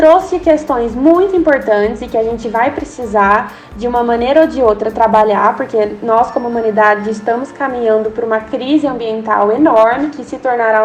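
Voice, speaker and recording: Amid noticeable background noise, a woman with a fairly high pitch talks at a moderate pace with ordinary pitch variation. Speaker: sustainability researcher. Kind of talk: podcast interview.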